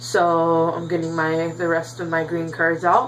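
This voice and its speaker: A woman with a very deep, low voice talks at a fairly slow pace. Audible room echo and noticeable background noise surround her. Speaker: YouTuber teaching card game deck building. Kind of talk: casual tutorial vlog. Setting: home bedroom. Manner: animated.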